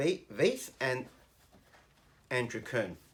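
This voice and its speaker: A man in an Australian accent speaks at medium pitch with ordinary pitch variation. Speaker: teacher. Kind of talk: educational commentary.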